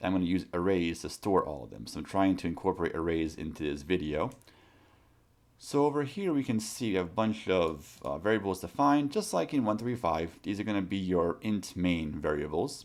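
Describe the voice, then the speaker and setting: The voice has a non-native accent and lively intonation. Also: man, very deep, low pitch for a man. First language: not English. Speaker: college programming instructor. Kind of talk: tutorial. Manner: casual, with many fillers.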